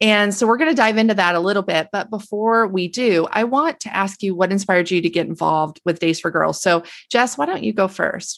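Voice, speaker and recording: A woman speaks in a plain, everyday voice, medium in pitch, at a moderate pace. Her intonation is lively. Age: 40s. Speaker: podcast host, nonprofit communications officer. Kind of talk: interview.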